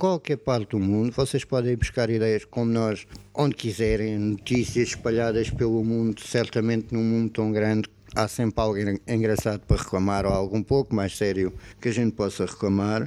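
On a very clean recording with a silent background, a man with a dark, mellow tone and medium pitch talks at a moderate pace with very even loudness. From Portugal, Algarve (Portimão). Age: 30s. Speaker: podcast co-host. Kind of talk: casual chat.

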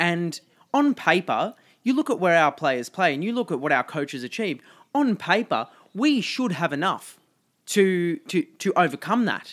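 A man with an Australian accent, high-pitched, with very wide pitch swings at a moderate pace, in a very clean recording with a silent background and a dry, close sound with no echo. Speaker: football podcast co-host. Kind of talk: casual chat.

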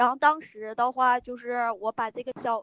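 A woman talks in a high voice. The sound is dry and close, with no echo. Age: 30s. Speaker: caller seeking marriage advice. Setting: live-stream mic link, phone. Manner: halting, rambling.

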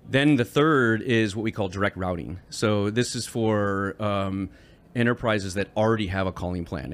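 A plain, everyday voice from a man with an American accent, fairly low in pitch, with ordinary pitch variation, a moderate pace and a very clean recording over a silent background. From Michigan, US Midwest. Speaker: tech executive. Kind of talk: interview. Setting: conference venue.

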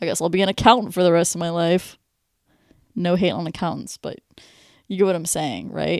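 A woman with a fairly low pitch speaks with an American accent and vocal fry. She leaves long, frequent pauses, and the recording is very clean with a silent background. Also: ordinary pitch variation, fairly quick pace. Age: 20s. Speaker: podcast host. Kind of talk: casual solo podcast monologue. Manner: conversational, informal.

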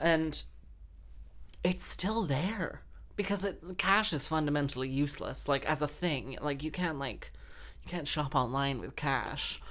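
Speaking in an American accent, a woman with vocal fry and a very deep, low pitch sounds animated at a fairly slow pace. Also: ordinary pitch variation. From grew up in London and Texas, now Wales. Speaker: podcast host and harpist/busker. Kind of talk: casual monologue. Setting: home recording.

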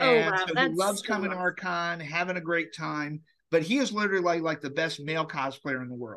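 An enthusiastic man speaks at a fairly quick pace with lively intonation. His voice is high-pitched with a bright, sharp tone. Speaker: comic con organizer, podcast guest. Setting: podcast interview. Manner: fast talker.

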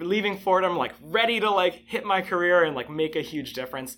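The man speaks at a fairly quick pace. It's a very clean recording with a silent background. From Connecticut (Bridgeport, Trumbull). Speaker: zookeeper. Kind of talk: interview. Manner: casual, with frequent fillers.

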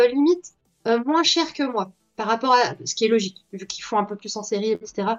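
A woman is speaking. Her voice is high-pitched and her intonation lively. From Belgium. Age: 20s. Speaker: artist and TikTok creator. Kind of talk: casual interview. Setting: live stream interview.

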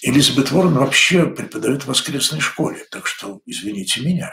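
A man is speaking. His intonation is lively. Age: 60s. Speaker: church commentator. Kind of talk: weekly news commentary monologue. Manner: conversational.

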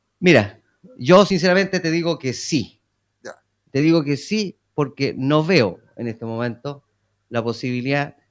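The speech moves at a fairly slow pace with long, frequent pauses. Its intonation is lively. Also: man, fairly high pitch for a man. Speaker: mayor. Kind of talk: radio interview. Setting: town hall.

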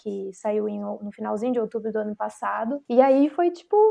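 Her pitch is fairly high, in a normal speaking voice. The woman keeps a moderate pace and fairly even intonation. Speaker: DJ and music producer, co-interviewer. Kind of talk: casual interview chat.

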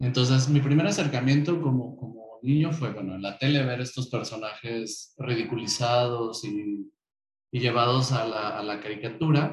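A man talks at a moderate pace and medium pitch. His voice is somewhat breathy, with ordinary pitch variation. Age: 30s. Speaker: LGBT association activist. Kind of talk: interview.

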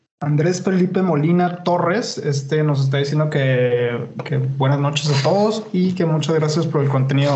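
With hardly any pauses and very even loudness, a man talks amid noticeable background noise and audible room echo. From Mexico, Chihuahua. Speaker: podcast host. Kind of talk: casual chat.

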